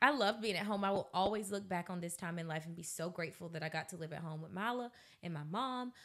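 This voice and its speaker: A woman with an American accent speaks at a very fast pace with lively intonation. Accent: Southern, noticed by locals. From US South, Georgia (Colquitt). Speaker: podcast co-host. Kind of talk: casual chat. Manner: fast, clearly enunciated.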